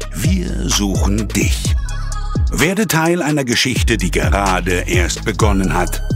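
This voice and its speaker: A man is talking, very slowly. Behind him, music plays in the background. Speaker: voice-over artist. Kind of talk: recruiting trailer voice-over. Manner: dramatic, motivating.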